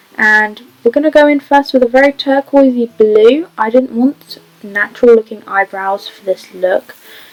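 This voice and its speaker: Over noticeable background noise, a woman talks at a moderate pace with a high pitch and ordinary pitch variation, the sound dry and close with no echo. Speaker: beauty vlogger. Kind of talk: makeup tutorial. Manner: stutter; casual voiceover.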